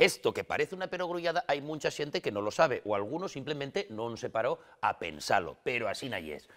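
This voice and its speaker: This man talks at a fairly quick pace in a fairly high pitch. His intonation is lively, with vocal fry. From Asturias, Spain. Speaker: comic actor. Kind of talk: comic monologue to camera. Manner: humorous, lively.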